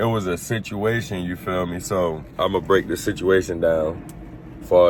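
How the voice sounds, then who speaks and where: Noticeable background noise sits behind a man with an American accent. His very deep, low voice moves at a moderate pace. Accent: Baltimore accent, viewers find it strong. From West Baltimore, US. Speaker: former prisoner storyteller. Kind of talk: storytime monologue. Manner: animated.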